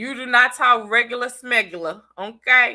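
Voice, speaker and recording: With a bright, sharp tone, a woman talks at a fairly high pitch with ordinary pitch variation. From US South. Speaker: YouTube commentator. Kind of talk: casual livestream chat. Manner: animated.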